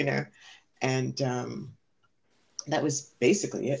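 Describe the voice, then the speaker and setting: In an American accent, a woman speaks with a very deep, low pitch. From New York, the Bronx. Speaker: college library supervisor and club advisor. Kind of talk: casual chat.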